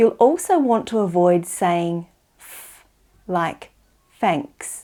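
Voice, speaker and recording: A woman at a medium pitch with a dark, mellow tone, lively intonation and a very slow pace, in a very clean recording with a silent background. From Australia. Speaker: English teacher. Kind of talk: tutorial. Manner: slow, clear enunciation.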